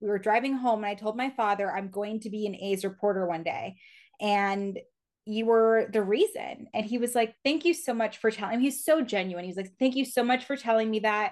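A woman with an unremarkable speaking voice and a General American accent, pitched fairly high. She talks at a fairly quick pace with ordinary pitch variation against a quiet background. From Reno, Nevada. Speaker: baseball reporter. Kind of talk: interview. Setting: studio.

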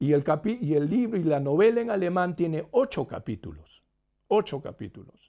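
A man with a high pitch and a dark, mellow tone speaks at a moderate pace with lively intonation over a quiet background. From Peru (Lima). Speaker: novelist being interviewed by a book club. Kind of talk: live interview over video call.

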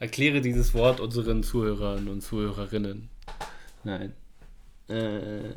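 Speaking at a fairly slow pace with long, frequent pauses, a man keeps a fairly even intonation in a room with audible echo. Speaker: fitness podcast co-host. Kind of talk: casual chat. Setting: studio.

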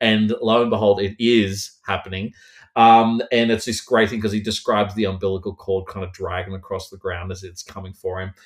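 A man with an Australian accent talks at a fairly quick pace in a fairly low pitch, his loudness swinging widely. The intonation is flat and monotone, and the recording is very clean with a silent background. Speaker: horror author. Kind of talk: casual interview chat.

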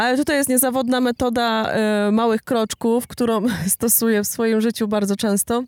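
In a normal speaking voice, a woman talks at a moderate pace with fairly even intonation, the sound dry and close with no echo on a very clean recording with a silent background. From Poland, Silesia (Jastrzębie-Zdrój). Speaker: paramotor pilot and marketing agency owner. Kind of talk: podcast interview, storytelling.

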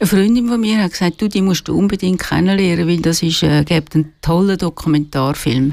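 A woman with a fairly low pitch talks at a fairly quick pace, with hardly any pauses and very even loudness. It is a normal speaking voice, with ordinary pitch variation. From Switzerland, Zurich lake area. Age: 60s. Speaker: retired journalist and author. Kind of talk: radio interview. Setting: studio.

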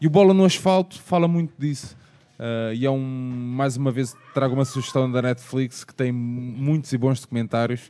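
A man speaks at a moderate pace in a medium pitch, his tone dark and mellow, with ordinary pitch variation. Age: 30s. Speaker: podcast host. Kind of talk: podcast discussion.

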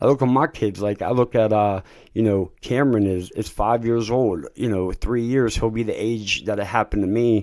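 In a very clean recording with a silent background, a man with a normal speaking voice talks at a moderate pace with a fairly low pitch and ordinary pitch variation. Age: 30s. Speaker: recovering addict sharing his story. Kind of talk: testimony.

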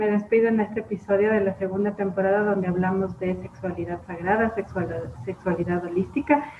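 Over noticeable background noise, a woman at a medium pitch talks at a fairly quick pace with ordinary pitch variation. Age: 30s. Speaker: podcast host. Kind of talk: interview.

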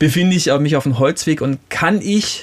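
A man talks in a plain, everyday voice. His pitch sits fairly high and his intonation is lively. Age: 30s. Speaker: physiotherapist and naturopath. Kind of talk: casual chat.

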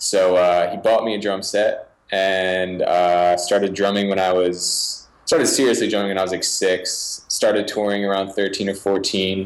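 A man speaks fairly slowly in a fairly low, monotone, flat voice with hardly any pauses. Noticeable background noise runs underneath. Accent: American. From Philadelphia suburbs, Pennsylvania. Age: 20s. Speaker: music producer and finger drummer. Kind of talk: interview.

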